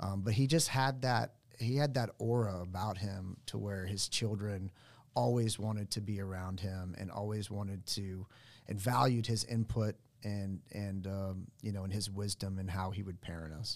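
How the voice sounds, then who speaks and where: A man with an American accent has a plain, everyday voice with a fairly low pitch. He speaks at a moderate pace with ordinary pitch variation on a very clean recording with a silent background. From Oklahoma, US. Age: 40s. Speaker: financial advisor. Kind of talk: casual interview. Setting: studio.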